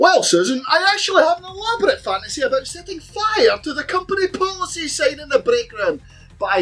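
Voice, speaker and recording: With music in the background, a man speaks at a fairly quick pace, his loudness swinging widely. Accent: Scottish. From Scotland. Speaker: comedian. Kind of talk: comedy rant.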